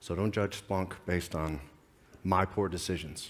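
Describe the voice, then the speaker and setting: A man with an American accent speaks at a fairly slow pace in a very deep, low voice. His intonation is fairly even, and room echo is audible. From United States. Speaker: security advisor. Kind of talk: conference talk. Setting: stage with audience. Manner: halting.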